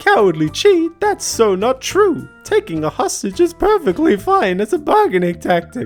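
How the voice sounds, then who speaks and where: Squeaky and high, a put-on character voice moves at a moderate pace with very wide pitch swings, faint music playing behind it. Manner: flamboyant, smug.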